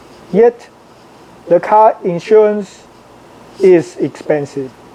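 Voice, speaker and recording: With noticeable background noise around him, a man speaks very slowly. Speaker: international student. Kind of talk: opinion monologue to camera.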